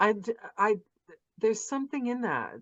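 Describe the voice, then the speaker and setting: Woman at a moderate pace. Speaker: audiobook narrator. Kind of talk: casual podcast host talk. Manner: upbeat.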